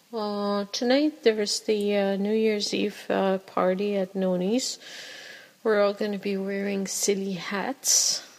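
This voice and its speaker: Over noticeable background noise, a woman at medium pitch speaks at a fairly slow pace. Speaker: podcast host. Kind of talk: casual solo monologue podcast. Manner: filler words, self-conscious.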